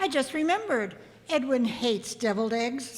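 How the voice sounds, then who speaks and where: A woman performs a put-on character voice at a high pitch. She talks fairly quickly with lively intonation. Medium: old radio play. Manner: gentle, sweet.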